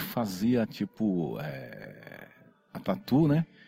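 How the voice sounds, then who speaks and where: A man talks with a dark, mellow tone. The recording is dry and close with no echo. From São Paulo, Brazil. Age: 50s. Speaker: tattoo convention organizer. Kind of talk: casual chat.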